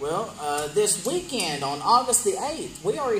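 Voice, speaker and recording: Speaking at a moderate pace with a Southern US accent, a man swings his pitch very widely while music plays in the background. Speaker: wrestling promotion interviewer. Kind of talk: wrestling promo interview.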